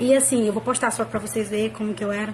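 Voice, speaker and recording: Noticeable background noise accompanies a woman's voice. Her intonation is fairly even. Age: 20s. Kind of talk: personal religious testimony to camera. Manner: casual, conversational.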